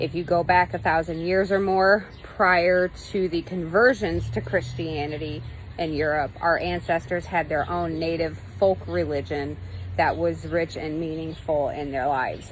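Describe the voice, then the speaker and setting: A woman talks at a fairly slow pace. There is noticeable background noise. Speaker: pagan teacher livestreamer. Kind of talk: live-streamed teaching talk. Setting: live stream on mobile data. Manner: casual with frequent fillers.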